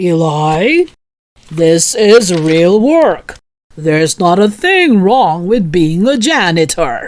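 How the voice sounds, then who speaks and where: This put-on character voice has a warm tone, a middle pitch and lively intonation. It moves at a very slow pace with very even loudness. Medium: read story. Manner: warm and good-humored.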